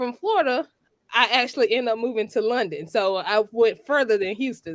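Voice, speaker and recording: In a Georgia accent, a woman with a high pitch makes very wide pitch swings on a very clean recording with a silent background. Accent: Georgia Southern. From US South, Georgia. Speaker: attorney. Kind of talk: interview on a talk show. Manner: halting, many fillers.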